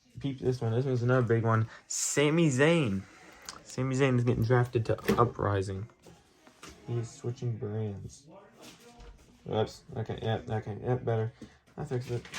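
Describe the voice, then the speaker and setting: A man talks at a moderate pace in a medium pitch, with long, frequent pauses. Noticeable background noise runs under the recording. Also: fairly even intonation. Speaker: hobbyist video creator running a wrestling draft. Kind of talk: casual solo commentary.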